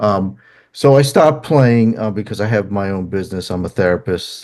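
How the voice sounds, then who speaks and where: A man's fairly low voice with a strong New Jersey accent, fairly quick and with lively intonation. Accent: thick New Jersey. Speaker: songwriter and therapist. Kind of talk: interview. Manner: halting, many fillers.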